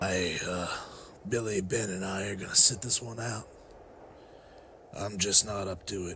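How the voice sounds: A man puts on a cartoonish character voice, raspy and fairly low, in a flat monotone. He keeps a moderate pace with long, frequent pauses, and clear background noise is present.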